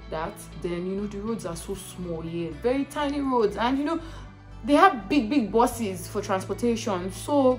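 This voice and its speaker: Music plays in the background. A woman's pitch swings very widely. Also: medium pitch for a woman, moderate pace, big swings in loudness. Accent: Nigerian. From Nigeria. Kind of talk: casual talk to camera. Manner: chatty, frequent fillers.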